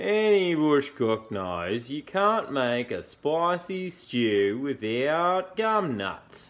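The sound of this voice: Using a put-on character voice, a man speaks very slowly at a medium pitch, with big pitch swings and a fairly bright tone.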